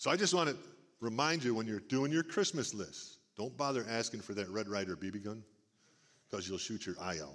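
A man's medium-pitched voice with very wide pitch swings, at a fairly quick pace, on a very clean recording with a silent background. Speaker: church service speaker. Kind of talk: warm, conversational preaching. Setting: church service, stage.

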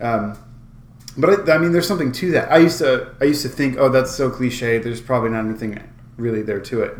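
An energetic man talks at a fairly quick pace, with audible room echo. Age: 30s. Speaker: musician and podcast host. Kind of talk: casual chat.

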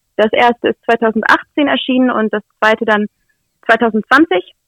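A woman speaks in a high pitch. The sound is dry and close with no echo. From Lower Saxony, Nienburg. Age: 20s. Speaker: author and blogger. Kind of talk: interview.

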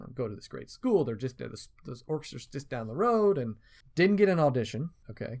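A man with an American accent speaks fairly quickly at a medium pitch. His pitch swings very widely and his loudness rises and falls sharply. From US South, Asheville, North Carolina. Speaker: orchestra conductor. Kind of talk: casual interview. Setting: studio.

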